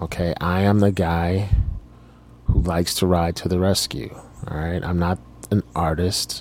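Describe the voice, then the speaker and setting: Very deep and low in pitch, a man speaks at a fairly slow pace with fairly even intonation and long, frequent pauses. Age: 40s. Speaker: podcast host. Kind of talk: personal monologue. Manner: halting.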